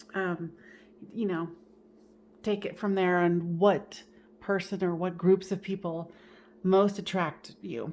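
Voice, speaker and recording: A woman's medium-pitched voice at a very slow pace, flat and monotone, broken by long, frequent pauses. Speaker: tarot reader and medium. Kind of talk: tarot reading.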